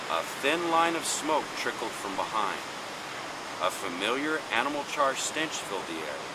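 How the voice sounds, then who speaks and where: At a moderate pace, a man talks while noticeable background noise continues behind him. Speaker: radio host. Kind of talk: horror story reading.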